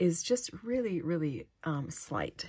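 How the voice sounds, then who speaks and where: A woman with a fairly low pitch speaks with ordinary pitch variation. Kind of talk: casual vlog chat. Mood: warm, delighted. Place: home room.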